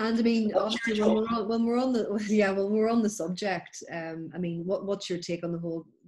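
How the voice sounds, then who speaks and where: Using an unremarkable speaking voice, a woman talks at a fairly quick pace with hardly any pauses and ordinary pitch variation. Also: medium pitch for a woman. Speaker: podcast host. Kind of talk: podcast interview questions. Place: home room. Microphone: webcam.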